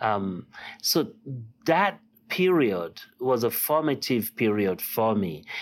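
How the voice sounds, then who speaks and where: A man at a medium pitch speaks with a Nigerian accent, using very wide pitch swings. His pace is very slow, with long, frequent pauses. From Nigeria (Lagos). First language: Yoruba. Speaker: artist and art professor. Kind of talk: interview. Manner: halting, many fillers.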